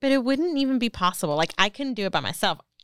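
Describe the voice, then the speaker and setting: In a very clean recording with a silent background, a woman's voice swings very widely in pitch. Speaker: podcast co-host. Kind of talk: casual chat.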